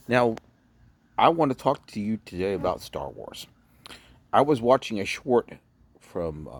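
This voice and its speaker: At a moderate pace and medium pitch, a man speaks with lively intonation. The sound is dry and close with no echo, on a very clean recording with a silent background. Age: 50s. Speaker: factory worker and video blogger. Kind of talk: casual vlog monologue. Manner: halting.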